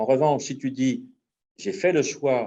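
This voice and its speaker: His is a plain, everyday voice. The man's medium pitch moves with ordinary variation. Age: 50s. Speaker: entrepreneur. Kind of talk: testimony.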